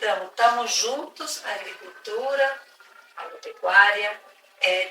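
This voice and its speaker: A woman speaks very slowly in an Argentine accent at a fairly high pitch. There is noticeable noise behind her. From Argentina. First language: Spanish (speaking Portuguese). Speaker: conservation reserve executive. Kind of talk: interview. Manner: halting, many fillers.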